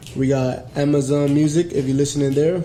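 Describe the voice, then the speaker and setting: Against noticeable background noise, a man talks at a moderate pace and fairly high pitch with monotone, flat intonation. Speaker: podcast host. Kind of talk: casual chat.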